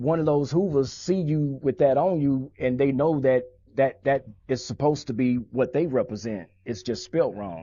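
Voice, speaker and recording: A man's plain, everyday voice with an American accent, fairly high in pitch, at a moderate pace with ordinary pitch variation. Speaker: former gang member. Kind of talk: interview. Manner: casual, street slang.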